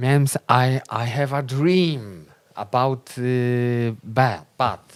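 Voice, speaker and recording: Speaking at a very slow pace, a man with a Polish accent keeps his intonation fairly even. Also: medium pitch for a man. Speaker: folk band musician, show co-host. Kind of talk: casual chat. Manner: halting.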